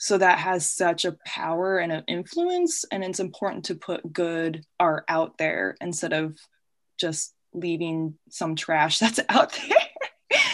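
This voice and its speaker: A woman's fairly low, monotone voice with an American accent, very slow pace and flat intonation, over a quiet background. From US Midwest (Peoria, Illinois). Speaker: artist and graphic designer. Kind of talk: casual interview.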